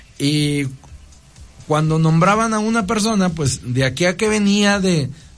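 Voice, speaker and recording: Lively intonation carries speech that unfolds at a fairly slow pace. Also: man. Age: 40s. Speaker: priest. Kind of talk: radio interview talk. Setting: radio studio. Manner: halting, frequent repetitions.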